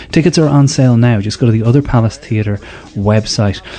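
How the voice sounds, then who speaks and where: At a fairly quick pace, a man with an Irish accent speaks in a medium pitch with ordinary pitch variation and a dark, mellow tone. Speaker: podcast host. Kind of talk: scripted narration. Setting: stage with audience.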